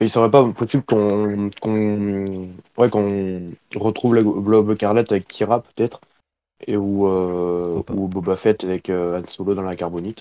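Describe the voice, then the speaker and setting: A man speaks fairly slowly in a fairly low pitch with a dark, mellow tone and monotone, flat intonation. The sound is dry and close with no echo, over a quiet background. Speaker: stream participant. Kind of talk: casual chat. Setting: voice chat.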